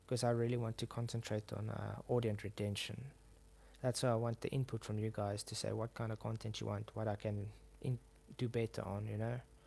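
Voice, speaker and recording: A man's somewhat breathy, dark, mellow voice in a South African accent, fairly low in pitch, monotone and flat, at a fairly quick pace. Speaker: YouTuber. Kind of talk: casual chat. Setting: live stream. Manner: halting.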